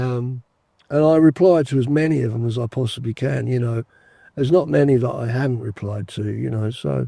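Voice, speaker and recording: With an English accent, this voice has a dark, mellow tone, a fairly quick pace and lively intonation. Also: man, medium pitch for a man, dry, close sound with no echo. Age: 60s. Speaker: retired fishing vlogger. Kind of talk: casual chat. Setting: outdoors. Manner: hesitant, fillers.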